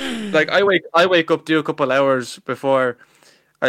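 This man speaks with an Irish accent at a moderate pace. The sound is dry and close, with no echo. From Ireland. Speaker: salesperson. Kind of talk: interview. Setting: video call.

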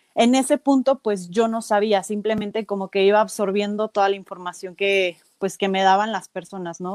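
A woman with a plain, everyday voice speaks at a fairly high pitch and a fairly quick pace. The very clean recording has a silent background and a dry, close sound with no echo. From Mexico, Celaya (Guanajuato). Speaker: nutritionist and CrossFit athlete. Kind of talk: casual interview.

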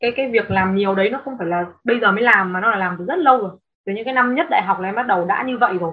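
A woman's voice at a very fast pace. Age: 20s. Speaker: travel blogger and content creator. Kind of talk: interview.

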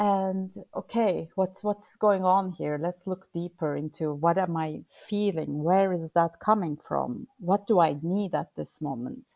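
A woman with a Turkish accent talks at a fairly slow pace, her pitch fairly low. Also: ordinary pitch variation. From Turkey. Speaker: burnout and well-being coach. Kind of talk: interview.

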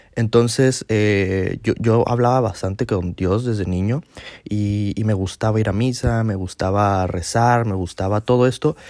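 The recording is very clean with a silent background, carrying a man's fairly low pitch and ordinary pitch variation. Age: 20s. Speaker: podcast host. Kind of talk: personal monologue. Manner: halting.

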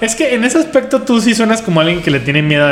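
In a room with audible echo and noticeable background noise, a man with a Mexican accent speaks at a fairly quick pace. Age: 30s. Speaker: podcaster. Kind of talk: casual chat.

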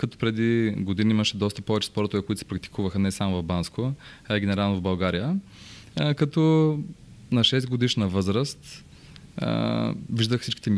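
At a moderate pace, a man with an ordinary speaking voice talks at a fairly low pitch with ordinary pitch variation. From Bulgaria, Bansko. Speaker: real estate broker. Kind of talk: interview storytelling.

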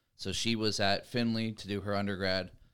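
Bright and sharp in tone, a man's fairly low voice stays monotone and flat on a very clean recording with a silent background. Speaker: college student and former athlete turned coach. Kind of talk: casual chat.

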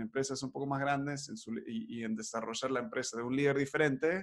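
Here a man speaks in a fairly high pitch. His pitch varies in an ordinary way. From Buenos Aires, Argentina. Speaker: podcast host. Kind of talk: casual chat, podcast conversation. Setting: recorded remotely, early morning, children playing nearby.

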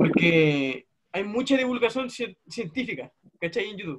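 With a Chilean accent and lively intonation, the voice comes through on a very clean recording with a silent background. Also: man. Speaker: YouTuber interviewer. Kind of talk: casual interview.

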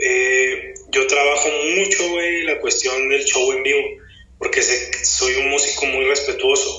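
A man with a northern Mexican accent talks very slowly at a very even loudness, with audible room echo and noticeable background noise. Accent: northern Mexican (Chihuahua). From Chihuahua, northern Mexico. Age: 30s. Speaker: rapper. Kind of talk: casual chat.

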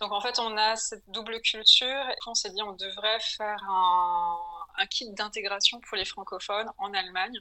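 An unremarkable speaking voice moves at a fairly slow pace with fairly even intonation. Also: woman, fairly high pitch for a woman. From France, Paris. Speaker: entrepreneur. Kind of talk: interview. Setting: call.

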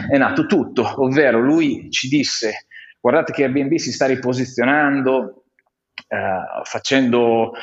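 An unremarkable speaking voice is heard here. The pace is fairly slow. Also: man. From Romagna, Italy (Faenza). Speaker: innovation consultant, collective founder. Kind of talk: casual interview conversation.

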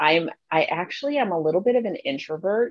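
Heard in a dry, close sound with no echo, a woman uses an ordinary speaking voice at medium pitch and a moderate pace. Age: 40s. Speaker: plus-size model and pageant winner. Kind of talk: interview.

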